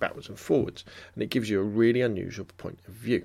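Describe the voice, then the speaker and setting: A man speaks at a very fast pace with a southern English accent. The recording is very clean, with a silent background. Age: 40s. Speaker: photography podcaster. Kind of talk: casual solo podcast monologue.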